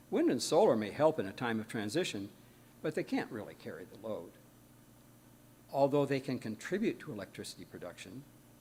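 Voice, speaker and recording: Speaking at a fairly quick pace with long, frequent pauses, a man at medium pitch shows very wide pitch swings and big swings in loudness. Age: 80s+. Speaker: guest speaker, engineer. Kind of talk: sermon-style talk.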